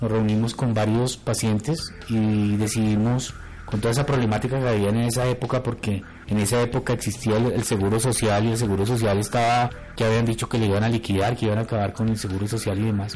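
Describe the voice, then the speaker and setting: A man speaks at a very fast pace. His loudness is very even and his intonation monotone and flat. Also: medium pitch for a man. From Colombia, Bogotá. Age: 40s. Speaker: patient advocate. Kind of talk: testimony.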